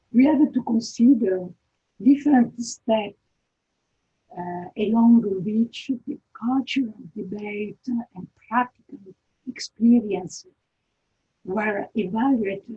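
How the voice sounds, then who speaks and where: A woman with an Italian accent at a very slow pace, somewhat breathy and dark and mellow in tone, with long, frequent pauses, big swings in loudness and ordinary pitch variation. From Italy. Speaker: architecture lecturer. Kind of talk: lecture. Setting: video call. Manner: halting.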